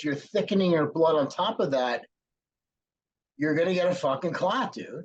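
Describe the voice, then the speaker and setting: A man with a normal speaking voice talks at a moderate pace, and his pitch sits fairly high. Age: 50s. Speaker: former pro bodybuilder, podcast host. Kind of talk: casual chat.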